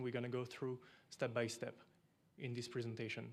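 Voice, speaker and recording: The speaker talks at a fairly quick pace with a French accent. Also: man. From France. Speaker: equipment company representative. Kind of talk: conference presentation.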